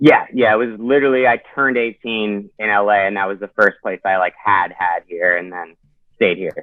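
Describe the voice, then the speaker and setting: A man with a normal speaking voice talks at a moderate pace, his pitch fairly low and varying in an ordinary way. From Canada, Toronto. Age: 20s. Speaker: actor and metal vocalist. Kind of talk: casual chat.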